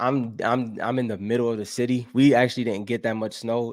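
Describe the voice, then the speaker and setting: A man with an ordinary speaking voice and an American accent speaks at a moderate pace. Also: very clean recording, silent background. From Buffalo, New York, US. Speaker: gaming podcast host. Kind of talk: live stream chat reading comments. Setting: solo live stream. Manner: casual, with many fillers and restarts.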